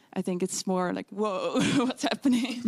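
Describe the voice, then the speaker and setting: A woman with a Dutch accent, medium pitch and moderate pace, in a dry, close sound with no echo. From Netherlands. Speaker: physics student. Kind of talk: interview answer. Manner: hesitant.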